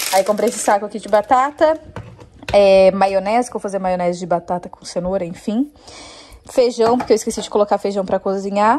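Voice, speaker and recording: Spoken at a moderate pace with ordinary pitch variation over light background noise. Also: woman. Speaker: home vlogger. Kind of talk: casual vlog chat. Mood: cheerful, laughs often. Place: kitchen.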